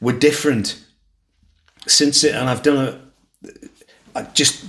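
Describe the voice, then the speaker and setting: Very slowly, a man speaks. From Liverpool. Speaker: podcast host. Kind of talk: casual chat.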